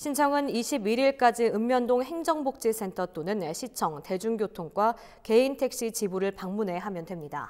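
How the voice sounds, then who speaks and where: With a normal speaking voice, a woman talks fairly slowly in a fairly high pitch, her intonation lively and hardly any pauses between phrases. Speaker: news anchor. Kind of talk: news reading. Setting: studio.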